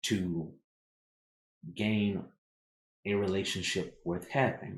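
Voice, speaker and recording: A man speaks very slowly at a fairly low pitch. He is soft-spoken. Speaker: tarot reader. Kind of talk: tarot reading. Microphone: too quiet, turning mic up.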